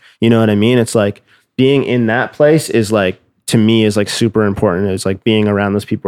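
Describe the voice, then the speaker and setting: A man with a Canadian accent and a plain, everyday voice, fairly low in pitch with fairly even intonation, in a very clean recording with a silent background and a dry, close sound with no echo. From Nova Scotia, Canada. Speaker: music producer. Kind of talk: casual interview.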